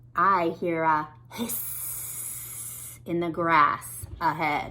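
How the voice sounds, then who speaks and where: A woman puts on a character voice, fairly low in pitch and very slow in pace. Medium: read story.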